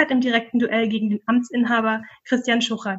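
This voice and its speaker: The pace is fairly quick and the intonation fairly even. It is an ordinary speaking voice. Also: woman. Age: 30s. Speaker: podcast host and doctoral researcher. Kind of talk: podcast hosting.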